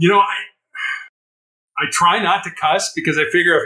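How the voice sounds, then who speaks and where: Speaking fairly quickly with an American accent, this man has a high pitch and a bright, sharp tone. His pitch variation is ordinary. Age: 60s. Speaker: former hostage negotiator and motivational speaker. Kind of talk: interview. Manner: halting, repeats words.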